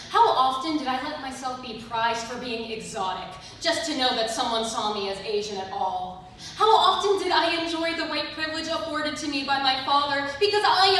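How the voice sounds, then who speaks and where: A woman speaks at a high pitch and a fairly quick pace. Her pitch swings very widely over noticeable background noise. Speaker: theatre conservatory student. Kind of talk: spoken word poetry performance.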